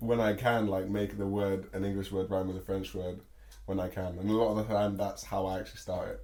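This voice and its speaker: There is audible room echo as a man speaks at a fairly quick pace with a dark, mellow tone. His pitch is fairly low and his intonation monotone and flat. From England, Bristol. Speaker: rapper. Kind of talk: interview.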